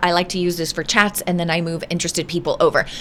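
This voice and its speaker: There is noticeable background noise while a woman speaks. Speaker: online business coach. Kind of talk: screen-share tutorial. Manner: halting, many fillers.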